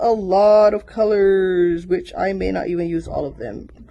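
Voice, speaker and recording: A woman speaks at medium pitch with a Caribbean accent. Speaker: small business owner vlogger. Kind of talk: casual unboxing vlog.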